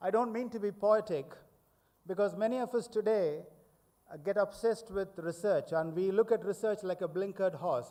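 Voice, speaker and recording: Here a man speaks with a high pitch but a dark, mellow tone. His pace is moderate and his pitch variation ordinary. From India. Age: 70s. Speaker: professor. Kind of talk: lecture. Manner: formal.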